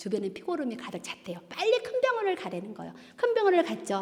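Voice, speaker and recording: Over noticeable background noise, a woman talks at a very fast pace in an animated tone, her pitch swinging very widely. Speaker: church deaconess giving testimony. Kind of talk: testimony. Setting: church.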